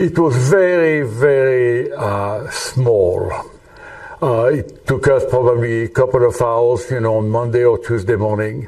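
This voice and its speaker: Speaking at a fairly slow pace with a French accent, the man has a medium pitch, while noticeable background noise and audible room echo come through. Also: ordinary pitch variation. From France. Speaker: retired engineer and volunteer. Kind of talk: interview testimony. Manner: halting, many fillers.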